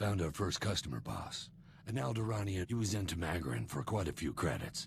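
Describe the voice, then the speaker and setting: Over clear background noise, a man puts on a character voice with a very deep, low pitch and a fairly quick pace. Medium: video game. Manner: casual, breezy.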